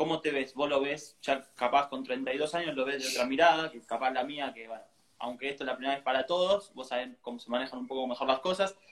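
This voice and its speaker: The pace is fairly quick. It is an ordinary speaking voice with ordinary pitch variation. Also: man. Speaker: interview host. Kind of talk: interview.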